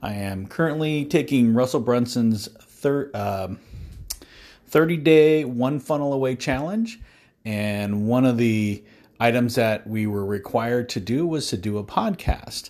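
A man talks at a fairly slow pace in a medium pitch with ordinary pitch variation, recorded very cleanly against a silent background. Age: 50s. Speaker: podcaster, mortgage loan officer and veteran. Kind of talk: monologue. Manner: halting.

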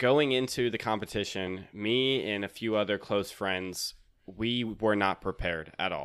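A man's unremarkable speaking voice, fairly low in pitch, with ordinary pitch variation, a fairly slow pace and an American accent, on a very clean recording with a silent background. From North Carolina, Raleigh. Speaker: podcaster and accountant. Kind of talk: casual chat.

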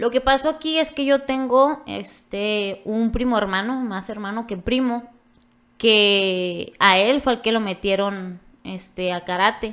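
In a very clean recording with a silent background, a woman speaks very slowly at a fairly high pitch with ordinary pitch variation. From Ojinaga, Chihuahua, Mexico. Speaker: karate athlete and coach. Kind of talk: casual chat.

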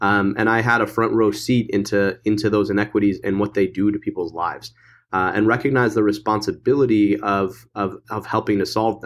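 Over a very clean recording with a silent background, a man uses a normal speaking voice, fairly low in pitch, at a fairly quick pace with fairly even intonation. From Michigan. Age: 30s. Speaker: political candidate. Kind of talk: interview.

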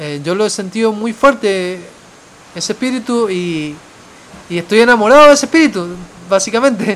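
With an Argentine accent, the speaker uses lively intonation at a moderate pace, leaving long, frequent pauses over noticeable background noise. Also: man, high pitch for a man. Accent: Argentine, noticeable abroad. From Argentina. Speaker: travel podcaster. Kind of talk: casual storytelling monologue. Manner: halting, with many fillers and repetitions.

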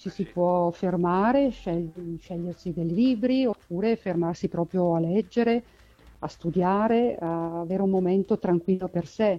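A woman talks very slowly, her medium pitch showing ordinary pitch variation. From northern Italy, Brescia area. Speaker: librarian. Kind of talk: interview. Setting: phone call.

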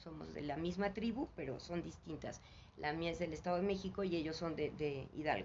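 Marked by vocal fry, this voice moves at a fairly quick pace with ordinary pitch variation. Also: woman, fairly low pitch for a woman. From Mexico, Mexico City. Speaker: spiritual teacher. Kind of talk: interview. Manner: halting.

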